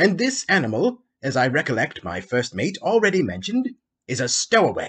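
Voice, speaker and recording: A man puts on a shrill character voice, pitched high with very wide swings and delivered at a moderate pace. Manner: imperious.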